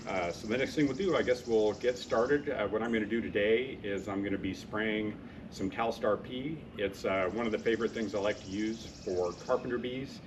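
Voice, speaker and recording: Moving at a fairly quick pace, a man speaks in an ordinary speaking voice, fairly low in pitch with ordinary pitch variation. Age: 60s. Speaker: YouTube product reviewer. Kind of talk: product review tutorial. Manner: casual, many filler 'uh's.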